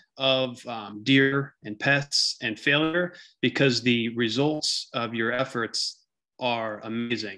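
A man's voice carries a bright, sharp tone over a quiet background. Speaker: presenter. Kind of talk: webinar presentation. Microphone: video call.

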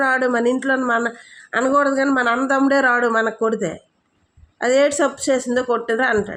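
This woman's voice sits at a high pitch. Her loudness stays very even throughout. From Andhra Pradesh, East Godavari. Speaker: party women's wing leader. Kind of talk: political statement to camera. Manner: animated.

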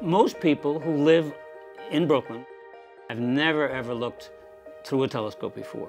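A man's voice at a moderate pace, with long, frequent pauses, big swings in loudness, ordinary pitch variation and clear music in the background. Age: 80s+. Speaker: amateur astronomer. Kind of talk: documentary interview answer.

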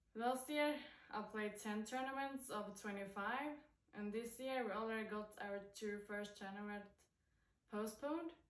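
A woman with a Swedish accent talks at a fairly slow pace, fairly high in pitch with ordinary pitch variation. Audible room echo sits over a quiet background. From Sweden. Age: 20s. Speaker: professional golfer. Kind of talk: sponsor video testimonial. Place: home room. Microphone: phone near.

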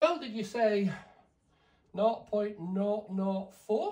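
Speaking slowly, a man with a high pitch has a slightly mellow tone.

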